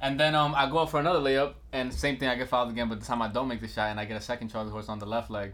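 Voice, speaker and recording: A man speaks with a New York accent at a very fast pace. His pitch is medium, with ordinary variation. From Bronx, New York. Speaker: rapper and podcast co-host. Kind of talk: casual chat.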